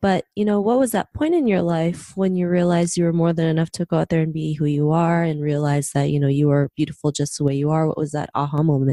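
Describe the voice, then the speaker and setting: Her voice has a dark, mellow tone and a very deep, low pitch for a woman. The intonation stays fairly even in a dry, close sound with no echo. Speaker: podcast host. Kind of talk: podcast interview host.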